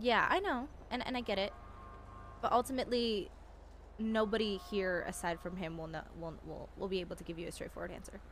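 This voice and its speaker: A woman's lively, sing-song voice at a fairly quick clip, with big jumps in volume, long and frequent pauses, and music playing behind her. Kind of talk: in-character roleplay chat. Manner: loud, yelling at times.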